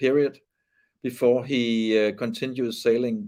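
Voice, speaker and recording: In a Danish accent and a dark, mellow tone, a man speaks fairly slowly with fairly even intonation against a quiet background. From Denmark. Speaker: sailing race commentator. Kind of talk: live commentary. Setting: studio. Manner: halting.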